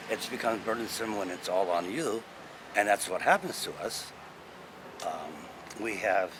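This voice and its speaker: Noticeable background noise runs behind the voice. A man with a Hawaiian accent talks at a moderate pace. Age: 60s. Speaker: Hawaiian cultural elder. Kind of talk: talk on culture. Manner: casual, with many fillers.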